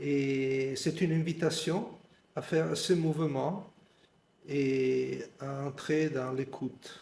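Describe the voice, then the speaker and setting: A man talks at a very slow pace with fairly even intonation. His voice is somewhat breathy. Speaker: meditation teacher. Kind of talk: guided meditation. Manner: halting.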